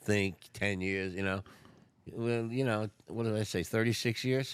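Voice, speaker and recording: At a moderate pace, a man with a North Jersey accent speaks in a fairly low pitch. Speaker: recovering addict, retired restaurateur. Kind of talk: podcast interview. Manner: casual.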